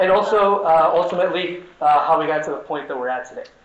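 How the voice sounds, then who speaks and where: A man with a high voice and an American accent speaks at a fairly quick pace with ordinary pitch variation. Noticeable background noise is present. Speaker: socialist activist and organizer. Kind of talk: conference talk. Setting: conference stage with audience.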